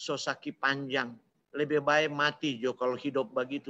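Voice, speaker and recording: Against a quiet background, a man with a Manado accent and a fairly high pitch speaks at a moderate pace in a bright, sharp tone. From Manado, North Sulawesi, Indonesia. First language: Manado Malay (speaking Indonesian). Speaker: preacher. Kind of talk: sermon. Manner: animated.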